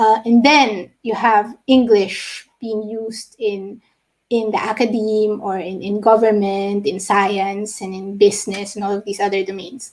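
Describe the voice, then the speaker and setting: A woman with a Filipino accent speaks at a fairly slow pace in a monotone, flat intonation. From Philippines. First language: Tagalog. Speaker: linguist. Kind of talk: lecture. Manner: halting.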